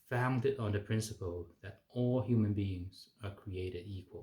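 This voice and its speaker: Fairly slow, somewhat breathy speech with a Chinese accent and fairly even intonation. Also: man. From China. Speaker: physician. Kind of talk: political advocacy talk. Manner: hesitant with fillers.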